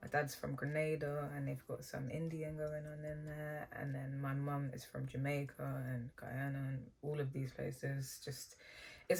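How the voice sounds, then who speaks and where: A woman's very deep, low, somewhat breathy voice with fairly even intonation. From England. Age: young. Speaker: beauty YouTuber; beauty vlogger. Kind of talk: makeup tutorial with Q&A. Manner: casual. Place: home room.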